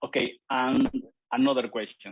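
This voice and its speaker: The sound is dry and close, without any echo. A man talks in a Spanish accent. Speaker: physician moderator. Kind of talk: webinar Q&A moderating. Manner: halting.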